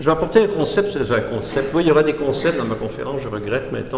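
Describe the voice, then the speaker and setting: A man talks at a very fast pace with lively intonation, with audible room echo and noticeable background noise. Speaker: art critic and philosopher giving a lecture. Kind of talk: lecture. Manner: halting, with false starts.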